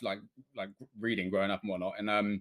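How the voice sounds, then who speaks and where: A man speaks with a British accent. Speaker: game developer. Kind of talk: interview. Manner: fast; animated.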